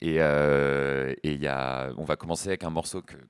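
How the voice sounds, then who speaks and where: A man's voice, dry and close with no echo. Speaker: graphic designer, music fan. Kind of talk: casual chat. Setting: studio.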